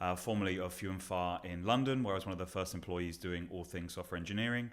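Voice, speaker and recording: A man with a very deep, low pitch speaks at a very fast pace. His intonation stays fairly even. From Somerset, England. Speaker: recruitment agency founder. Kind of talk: casual interview.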